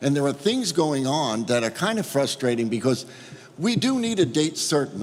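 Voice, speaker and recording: A man speaks with a New York accent, his pitch fairly high. His voice moves in very wide pitch swings. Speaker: cruise line executive. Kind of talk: roundtable remarks. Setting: roundtable with governor.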